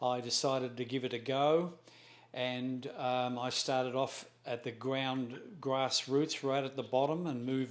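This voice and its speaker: Speaking at a fairly slow pace, a man with an Australian accent keeps a medium pitch and fairly even intonation. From Australia, Melbourne. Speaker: real estate broker. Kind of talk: self-introduction interview. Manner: halting, with fillers and self-corrections.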